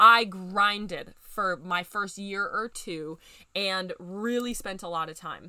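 A woman with a medium pitch and a bright, sharp tone sounds animated and upbeat. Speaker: podcast host and business growth coach. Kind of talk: casual podcast monologue. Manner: animated, upbeat; conversational.

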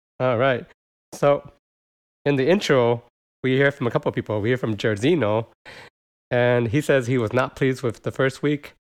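A man with an American accent at a medium pitch, ordinary pitch variation, moderate pace and long, frequent pauses, in a very clean recording with a silent background. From United States. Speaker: podcast host. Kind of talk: casual chat.

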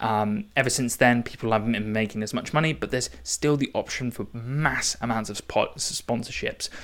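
A man in an English accent speaks at medium pitch with fairly even intonation and hardly any pauses. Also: moderate pace. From England. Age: 20s. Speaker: podcast host. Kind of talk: casual monologue. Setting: home recording.

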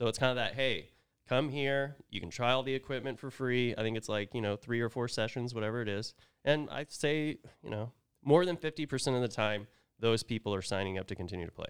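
In an unremarkable speaking voice, a man talks with an American accent at medium pitch and a fairly quick pace. His pitch variation is ordinary, on a very clean recording with a silent background. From Oklahoma. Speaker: podcaster and youth hockey coach. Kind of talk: casual chat. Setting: studio.

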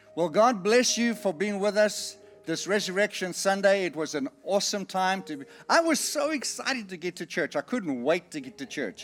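A man with a high pitch and an animated, warm tone speaks at a moderate pace, using very wide pitch swings and big swings in loudness over noticeable background noise. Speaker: preacher. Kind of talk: sermon with altar call, calling people forward. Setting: church with congregation. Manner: animated, warm, exhorting the congregation; encouraging, repeating short phrases like 'Come on down'.

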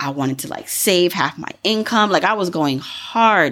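In an unremarkable speaking voice, a woman with fairly low pitch talks at a moderate pace with lively intonation. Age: 30s. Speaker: personal finance podcast host. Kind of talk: solo podcast monologue. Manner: casual, conversational with frequent laughs.

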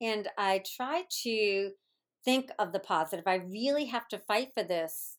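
A woman speaks in a normal speaking voice at a medium pitch with lively intonation and a fairly slow pace. Her loudness stays very even on a very clean recording with a silent background. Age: 60s. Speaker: guest, teacher and aspiring entrepreneur. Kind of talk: interview answers.

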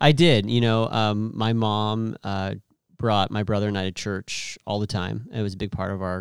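A man with a plain, everyday voice, fairly low in pitch and fairly slow, with ordinary pitch variation, in a dry, close sound with no echo on a very clean recording with a silent background. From California Central Valley (Merced). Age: 30s. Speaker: youth pastor. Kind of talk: casual interview chat. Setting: studio.

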